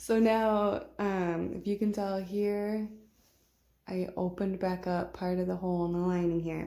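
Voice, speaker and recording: A woman speaks quietly at a fairly slow pace. Her medium-pitched voice holds fairly even intonation. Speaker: sewing tutorial creator. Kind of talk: tutorial. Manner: quiet, subdued; casual, conversational.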